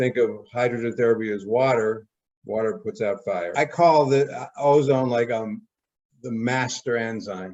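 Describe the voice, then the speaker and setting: At a moderate pace, a man speaks in a normal speaking voice with a medium pitch. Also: ordinary pitch variation. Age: 60s. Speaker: health channel host selling ozone equipment. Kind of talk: interview.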